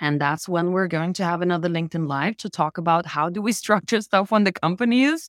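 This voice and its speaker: A woman with a normal speaking voice at a medium pitch and fairly quick pace, in a very clean recording with a silent background and a dry, close sound with no echo. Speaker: host. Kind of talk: interview conversation. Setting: livestream. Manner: excitable.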